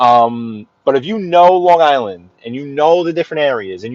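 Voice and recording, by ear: A man at medium pitch and a fairly slow pace, with a dry, close sound and no echo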